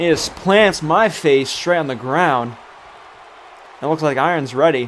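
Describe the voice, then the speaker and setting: Crowd noise fills the background as a man talks at a fairly slow pace. His tone is animated, his pitch fairly high, with ordinary pitch variation. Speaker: gaming streamer. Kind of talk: live commentary.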